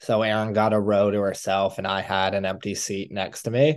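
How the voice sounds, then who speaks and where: An ordinary speaking voice moves at a moderate pace with fairly even intonation against a quiet background. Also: man. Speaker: podcast host. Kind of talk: casual chat.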